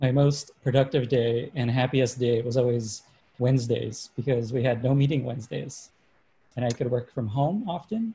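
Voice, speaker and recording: A man speaks at medium pitch and a moderate pace, his dark, mellow tone somewhat breathy and his intonation fairly even. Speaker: moderator and newsletter writer. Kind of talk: moderated interview.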